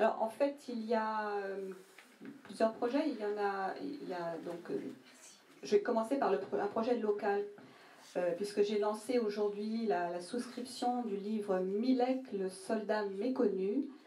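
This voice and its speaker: Speaking in a Portuguese accent at a very slow pace, a woman uses ordinary pitch variation, with audible room echo and noticeable background noise. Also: fairly high pitch for a woman. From Portugal, Barreiro. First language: Portuguese (speaking French). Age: 40s. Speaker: poet, translator and publisher. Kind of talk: interview at a public evening event. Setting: café event with audience. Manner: hesitant, many fillers.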